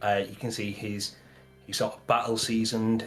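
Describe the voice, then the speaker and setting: A man talks in a Mancunian accent. His pace is fairly slow. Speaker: gaming podcast co-host. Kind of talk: casual chat. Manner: halting.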